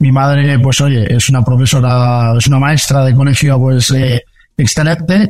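Speaking with a Castilian accent, a man sounds somewhat breathy, with medium pitch and a moderate pace. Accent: Spanish (Spain) Castilian. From Spain, Valencia. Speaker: startup founder and CEO. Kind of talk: interview. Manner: halting, many fillers and repetitions.

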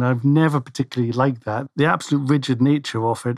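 Talking at a very fast pace, a man with a medium pitch is heard on a very clean recording with a silent background. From Scotland. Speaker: financial planner. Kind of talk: casual chat. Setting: studio. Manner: halting, many fillers.

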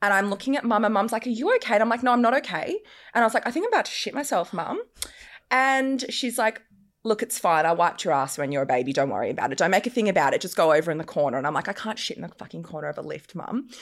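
Talking at a very fast pace with vocal fry and very wide pitch swings, a woman with an Australian accent comes through on a very clean recording with a silent background. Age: 30s. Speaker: lingerie business owner. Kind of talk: casual chat. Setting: studio.

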